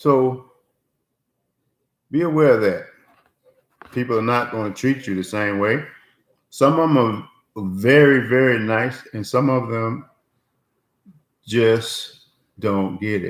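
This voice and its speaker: At a very slow pace, a man speaks at a medium pitch with ordinary pitch variation and long, frequent pauses. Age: 60s. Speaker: motivational vlogger and inventor. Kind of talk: casual vlog monologue. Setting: home office. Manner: halting, many fillers.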